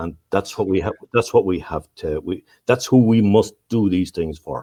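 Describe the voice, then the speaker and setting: A man's fairly low, dark, mellow voice in an Irish accent, at a moderate pace with ordinary pitch variation, in a dry, close sound with no echo. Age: 60s. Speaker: local councillor. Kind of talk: casual chat. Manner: halting.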